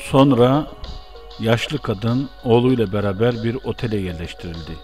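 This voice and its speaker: A man at a medium pitch, ordinary pitch variation, and a fairly slow pace, with music in the background. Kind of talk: news report read aloud.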